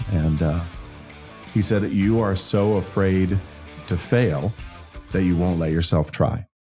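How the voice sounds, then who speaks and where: With music in the background, a man with a very deep, low pitch speaks at a fairly slow pace, showing ordinary pitch variation and long, frequent pauses. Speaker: country singer-songwriter and entrepreneur. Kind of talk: podcast interview answer.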